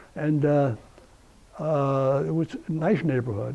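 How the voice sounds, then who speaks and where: This speaker talks very slowly with an American accent. The pitch varies in an ordinary way. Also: man. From US Northeast (New Jersey, Essex County). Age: 80s+. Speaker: war veteran. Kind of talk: interview. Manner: halting.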